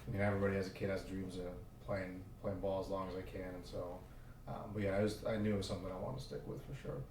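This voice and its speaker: In an American accent, a man with a very deep, low pitch speaks at a very fast pace and fairly even intonation, with audible room echo and noticeable background noise. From Oklahoma. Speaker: football coach. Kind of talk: podcast interview. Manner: hesitant, many fillers.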